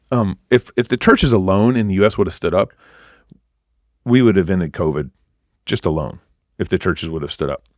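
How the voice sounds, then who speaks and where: Animated in tone, a man with an American accent speaks in a fairly low pitch at a fairly quick pace with lively intonation and long, frequent pauses, on a very clean, dry, close recording with no echo and a silent background. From Texas. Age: 40s. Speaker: activist pastor. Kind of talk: podcast interview.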